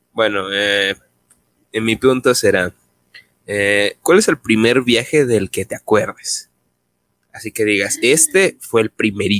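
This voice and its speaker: With a Mexican accent, a man speaks at a very slow pace with long, frequent pauses, using a medium pitch and ordinary pitch variation in a dry, close sound with no echo. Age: 20s. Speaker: podcast co-host. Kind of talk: casual chat.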